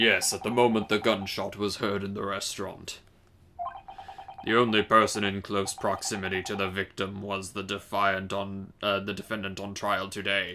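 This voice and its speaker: Putting on a character voice, a man talks at a moderate pace with a fairly low pitch and a flat, monotone delivery. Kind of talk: pompous dramatic reading. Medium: game stream. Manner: formal, authoritative.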